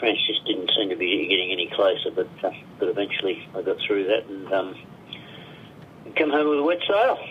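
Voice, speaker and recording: Amid noticeable background noise, a man with an Australian accent keeps his loudness very even and leaves long, frequent pauses. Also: moderate pace. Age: 70s. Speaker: long-distance swimmer. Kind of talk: radio interview. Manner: halting.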